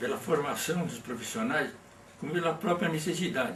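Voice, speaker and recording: A man's high-pitched voice at a moderate pace, with noticeable background noise and audible room echo. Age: 80s+. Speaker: workplace safety pioneer. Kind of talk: interview. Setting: at his home. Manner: halting.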